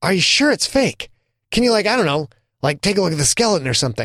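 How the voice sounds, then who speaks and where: A man's put-on character voice at a high pitch, very fast and very even in loudness, in a dry, close sound with no echo. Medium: read story.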